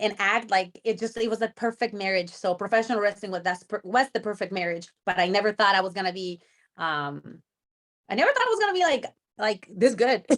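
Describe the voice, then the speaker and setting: Speaking at a fairly quick pace with a Spanish accent, a woman uses a medium pitch with ordinary pitch variation. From Mexico. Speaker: professional wrestler. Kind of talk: interview. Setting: video call. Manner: halting.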